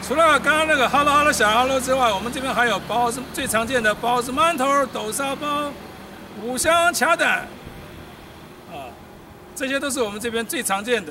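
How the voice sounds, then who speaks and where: A man speaks in a raised, projected voice at an extremely high pitch, with ordinary pitch variation and a moderate pace. Long, frequent pauses break up his speech, and there is noticeable background noise. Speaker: military village tour guide. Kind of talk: guided walking tour talk. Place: street. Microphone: camera far.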